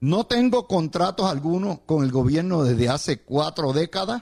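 A man speaks with a Puerto Rican accent at a fairly slow pace. His intonation is lively. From Puerto Rico. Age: 70s. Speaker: radio host and political analyst. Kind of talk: radio commentary monologue.

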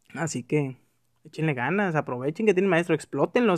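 A man talks at a very fast pace with lively intonation and a fairly high pitch. The sound is dry and close, without echo. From Mexico, Tijuana. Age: 20s. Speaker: podcaster. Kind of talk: personal monologue. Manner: casual, conversational.

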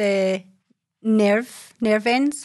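A woman with a Scottish accent speaks very slowly in a fairly high pitch, her intonation fairly even against a quiet background. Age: 40s. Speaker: holistic therapist and herbalist. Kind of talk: casual monologue. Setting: video recording.

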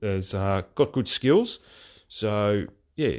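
With an Australian accent, a man speaks at a fairly low pitch with ordinary pitch variation. The recording is very clean, with a silent background. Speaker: football podcast host. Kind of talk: solo podcast commentary. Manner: hesitant, many fillers.

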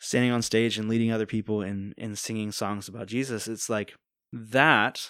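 A man's plain, everyday voice at medium pitch, with an American accent and a moderate pace. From Virginia Beach, Virginia, US. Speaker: worship leader and singer-songwriter. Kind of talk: casual interview. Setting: studio.

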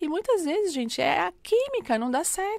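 A woman's pitch swings very widely in a very clean recording with a silent background and a dry, close sound with no echo. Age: 40s. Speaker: bank executive and tutor. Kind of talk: podcast interview.

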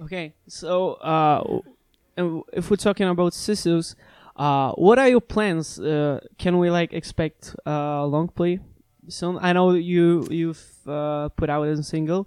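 Speaking at a very slow pace, a man with a high voice comes through with a dry, close sound and no echo. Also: ordinary pitch variation. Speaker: podcast host. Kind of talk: casual chat. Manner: halting.

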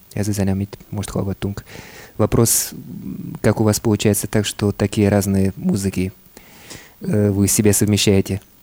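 Speaking at a moderate pace with long, frequent pauses, a man uses a fairly low, monotone voice, and the sound is dry and close with no echo. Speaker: radio host. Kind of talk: interview with live interpreting. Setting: radio studio. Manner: halting, many fillers.

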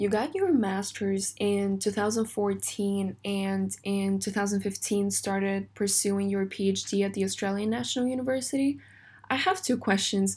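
A woman speaks at a medium pitch and a moderate pace, sounding somewhat breathy. The recording is very clean, the background silent. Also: fairly even intonation. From Russia. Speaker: podcast host. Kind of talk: interview.

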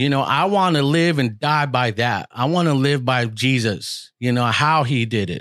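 A man with an unremarkable speaking voice talks at medium pitch and a moderate pace, with ordinary pitch variation and hardly any pauses. His loudness stays very even on a very clean recording with a silent background. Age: 40s. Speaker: podcaster and former youth pastor. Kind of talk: testimony.

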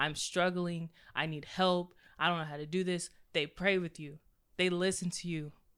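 Monotone and flat in intonation, a woman speaks at a moderate pace. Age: 20s. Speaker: podcast host, accountant. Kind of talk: casual faith discussion.

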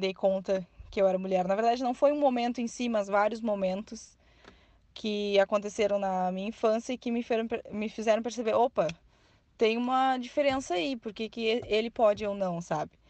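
A woman with an unremarkable speaking voice talks at a fairly high pitch and moderate pace, her pitch varying in an ordinary way. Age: 20s. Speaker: journalism student and nursing technician. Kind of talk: interview answers.

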